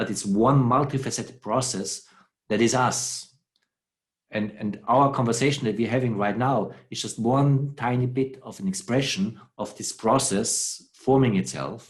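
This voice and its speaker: A man with a non-native accent speaks fairly slowly in a somewhat breathy voice with fairly even intonation. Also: medium pitch for a man. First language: not English. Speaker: philosopher. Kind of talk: conversation. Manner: halting.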